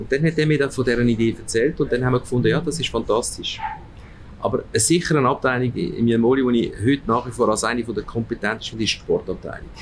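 A man speaks at a very fast pace. His loudness stays very even over noticeable background noise. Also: medium pitch for a man, ordinary pitch variation. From Switzerland, Aargau, Italian parents. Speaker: department store executive. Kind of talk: interview. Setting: restaurant.

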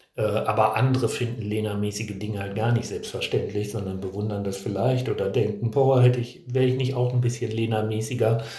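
Amid noticeable background noise and audible room echo, a man talks at a fairly quick pace with hardly any pauses and monotone, flat intonation. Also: medium pitch for a man. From Hannover, northern Germany. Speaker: career planning trainer. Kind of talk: casual interview. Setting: boarding school seminar venue.

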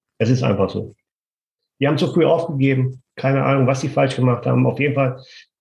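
A man at a medium pitch with vocal fry, very fast pace and fairly even intonation. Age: 50s. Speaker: construction business owner and property renter. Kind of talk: interview.

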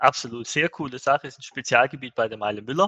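With a plain, everyday voice, a man talks at a medium pitch and ordinary pitch variation, the sound dry and close with no echo. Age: 50s. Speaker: managing director of an e-commerce agency. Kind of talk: podcast interview.

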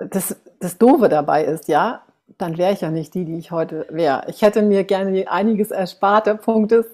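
A woman speaks at medium pitch and a moderate pace, with ordinary pitch variation and a dark, mellow tone. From Germany. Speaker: face yoga coach, author. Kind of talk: interview, personal storytelling.

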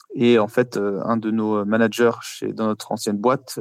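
In a dry, close sound with no echo, a man speaks at medium pitch with monotone, flat intonation. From France, Paris. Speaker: startup founder. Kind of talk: interview answers.

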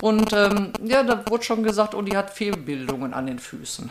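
A woman talks with lively intonation. Noticeable background noise runs behind her. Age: 60s. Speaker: recovering alcoholic and peer guide. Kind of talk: personal testimony.

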